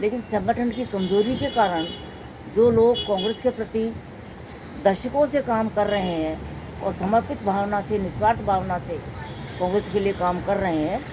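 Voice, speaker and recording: Noticeable background noise beneath a woman's medium-pitched speech, her pitch varying ordinarily. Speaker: local politician. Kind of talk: interview.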